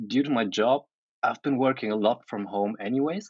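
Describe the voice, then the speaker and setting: With a German accent, a man talks at a medium pitch that moves in very wide swings. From Germany. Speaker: photographer and photo editor. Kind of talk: casual chat.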